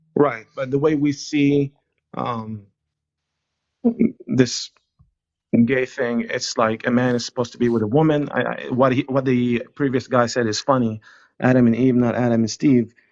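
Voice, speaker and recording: With an Israeli accent, a man at medium pitch talks at a moderate pace in a monotone, flat way, leaving long, frequent pauses. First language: Hebrew. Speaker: caller on a live stream. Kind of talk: debate.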